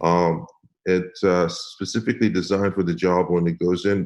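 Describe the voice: At a moderate pace, a man speaks in a low pitch with a slightly mellow tone.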